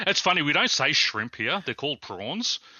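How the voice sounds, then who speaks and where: This man talks at a very fast pace. He has an Australian accent. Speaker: podcast guest.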